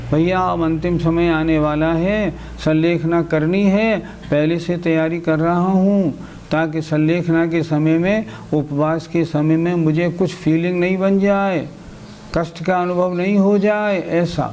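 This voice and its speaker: A man talks in a high pitch with monotone, flat intonation. Audible room echo and noticeable background noise surround him. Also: very even loudness. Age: 60s. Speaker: Jain religious teacher. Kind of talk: religious lecture.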